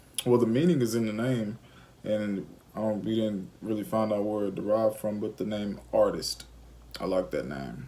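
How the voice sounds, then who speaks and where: In an Alabama accent, a man speaks at a moderate pace with a fairly low pitch and lively intonation. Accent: Southern US (Alabama). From Alabama, US South. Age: 20s. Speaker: parenting vlogger. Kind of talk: casual chat.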